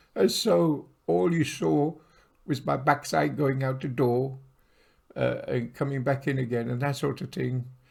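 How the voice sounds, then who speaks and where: Somewhat breathy and at medium pitch, a man talks with lively intonation. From England. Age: 70s. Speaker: retired police officer. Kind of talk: casual monologue. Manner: halting.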